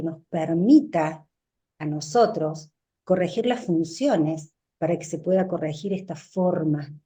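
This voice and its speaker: Speaking at a fairly slow pace, a woman has a dark, mellow tone that is somewhat breathy. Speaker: orthodontist lecturer. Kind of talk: lecture. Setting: webinar.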